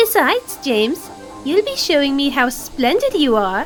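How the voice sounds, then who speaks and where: A put-on character voice with a high pitch and very wide pitch swings speaks at a moderate pace. Music plays clearly in the background. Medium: audio drama. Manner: gentle.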